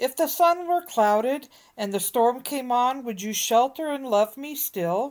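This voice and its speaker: Using a put-on character voice, a woman speaks at a high pitch and a moderate pace on a very clean recording with a silent background. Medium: read story.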